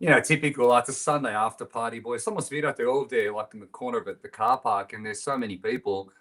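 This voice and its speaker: Talking at a very fast pace with hardly any pauses, a medium-pitched man with an Australian accent has lively intonation. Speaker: band musician. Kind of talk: casual chat.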